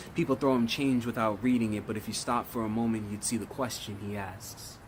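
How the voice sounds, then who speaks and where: A man speaks at medium pitch and a moderate pace, with ordinary pitch variation. He has an ordinary speaking voice. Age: 20s. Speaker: spoken word poet. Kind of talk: spoken word poetry performance.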